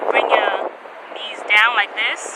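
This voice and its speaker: The talking moves at a fairly slow pace amid noticeable background noise. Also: woman. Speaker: lifestyle vlogger and yoga teacher trainee. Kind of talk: guided yoga instruction; casual vlog talk. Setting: outdoors at the beach. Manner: loud.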